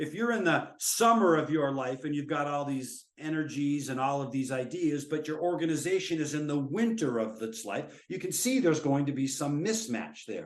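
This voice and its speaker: Audible room echo carries a man's fairly high-pitched voice with lively intonation. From US Midwest (central Minnesota). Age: 60s. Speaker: professor. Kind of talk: webinar lecture.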